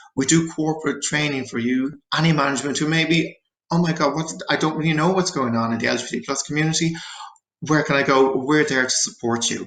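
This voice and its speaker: A man with an Irish accent speaks at a very fast pace. His pitch is fairly high, with ordinary variation. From Ireland. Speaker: therapist. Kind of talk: presentation.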